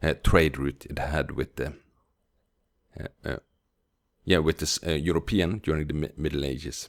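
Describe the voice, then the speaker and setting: A man with a very deep, low pitch and vocal fry speaks at a moderate pace with long, frequent pauses and fairly even intonation, the sound dry and close with no echo. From Norway, Bergen area. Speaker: language teacher. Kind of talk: tutorial. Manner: halting.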